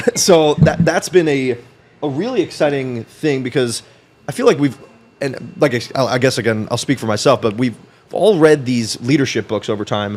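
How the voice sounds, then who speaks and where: Lively intonation from a man at medium pitch. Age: 20s. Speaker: entrepreneur and financial advisor. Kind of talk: podcast interview. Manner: fast.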